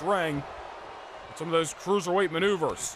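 A man speaks at a very fast pace in a high, animated voice. Noticeable background noise runs underneath. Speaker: wrestling game commentator. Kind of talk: live wrestling commentary. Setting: gaming video voiceover. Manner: animated, fast, hyped play-by-play; excited, announcer-style delivery.

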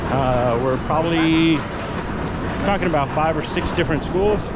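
Over loud background noise, a man talks at a fairly slow pace in a dry sound with no echo. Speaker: theme park vlogger. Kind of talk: casual vlog chat. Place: street. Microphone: phone near.

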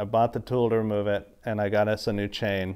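This man's pitch is fairly low. He talks at a moderate pace over a quiet background. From Wyoming. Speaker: motorcycle vlogger. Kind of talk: casual video update. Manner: halting, many filler words.

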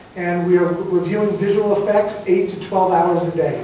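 A high-pitched man in a flat monotone, with strong room echo and light background noise. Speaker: film producer on panel. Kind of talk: press conference statement. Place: stage. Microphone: camera far.

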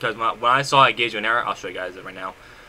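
A man's voice over noticeable background noise. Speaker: Roblox game developer YouTuber. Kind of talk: tutorial. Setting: screen recording voiceover. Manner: halting, filler-heavy.

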